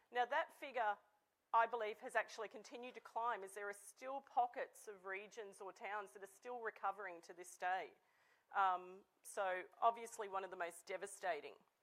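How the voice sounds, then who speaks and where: The loudness of this woman's voice swings a great deal. She keeps a medium pitch, a moderate pace and ordinary pitch variation. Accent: Australian. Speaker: technology company CEO. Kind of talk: conference presentation.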